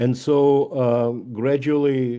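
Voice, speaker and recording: This is a man's voice. He speaks with a Russian accent. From Russia (Leningrad). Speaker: author. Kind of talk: author talk. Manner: halting.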